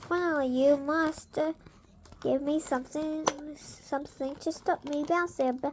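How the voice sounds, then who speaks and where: A woman speaks in a squeaky, put-on character voice with a high pitch. Her delivery is monotone and flat at a moderate pace. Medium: read story.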